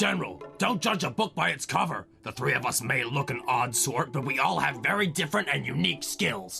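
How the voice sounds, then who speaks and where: A man's cartoonish character voice, medium in pitch, at a fairly quick pace, with clear music in the background. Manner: earnest, polite.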